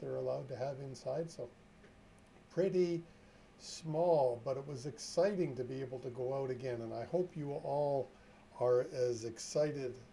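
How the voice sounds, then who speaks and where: A man speaks with a fairly high pitch. His tone is dark and mellow, and somewhat breathy. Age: 60s. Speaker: trucking safety consultant. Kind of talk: live stream talk. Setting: live stream. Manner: casual, chatty.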